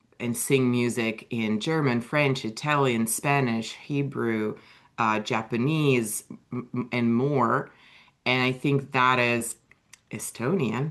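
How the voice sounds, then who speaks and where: A woman with a Russian accent and a very deep, low pitch speaks at a very slow pace with fairly even intonation. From Russia (USSR). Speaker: author and writing coach. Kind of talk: interview.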